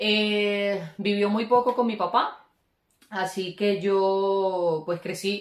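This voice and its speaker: Very slow in pace, a woman talks at medium pitch with fairly even intonation. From Colombia, Caribbean coast (Valledupar, Cesar). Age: 30s. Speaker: vlogger. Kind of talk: casual chat. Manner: hesitant, many filler sounds.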